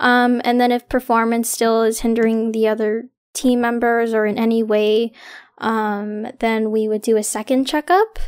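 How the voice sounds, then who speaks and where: A woman speaking, captured very cleanly against a silent background. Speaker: student club president. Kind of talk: casual chat.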